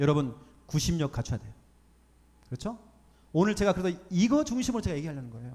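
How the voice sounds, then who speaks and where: A man with a dark, mellow tone and fairly high pitch, very fast yet with long, frequent pauses, very wide pitch swings and big swings in loudness. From Jeollabuk-do, Jeonju, South Korea. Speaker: pastor. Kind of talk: sermon. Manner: animated.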